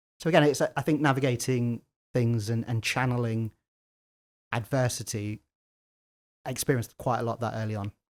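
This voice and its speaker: A man with an English Midlands accent talks at a fairly quick pace but with long, frequent pauses. His pitch is medium and his intonation fairly even, with a dry, close sound and no echo. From English Midlands, Leicester. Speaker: lawyer and tech entrepreneur. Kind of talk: interview conversation. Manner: halting, repeats words.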